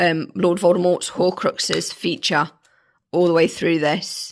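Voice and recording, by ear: Slowly and with little pitch movement, a woman speaks in a croaky, fairly low voice.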